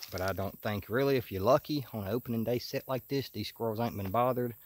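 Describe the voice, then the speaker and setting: A man at a very fast pace, with ordinary pitch variation and a dry sound with no echo. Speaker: hunter vlogger. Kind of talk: casual vlog chat. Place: forest. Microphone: phone near.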